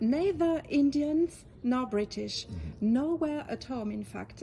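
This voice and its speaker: A woman speaks in a French accent. Her pace is very slow. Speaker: interviewer. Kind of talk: interview question.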